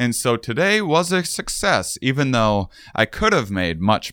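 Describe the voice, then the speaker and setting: A man with a normal speaking voice and lively intonation, at a fairly slow pace, on a very clean recording with a silent background. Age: 30s. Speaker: podcast host. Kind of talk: casual interview. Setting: on location at a university.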